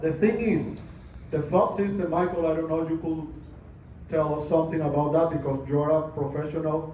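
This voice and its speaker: A man's fairly high voice with fairly even intonation at a moderate pace, with audible room echo and noticeable background noise. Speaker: condo owner at meeting. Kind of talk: community meeting question.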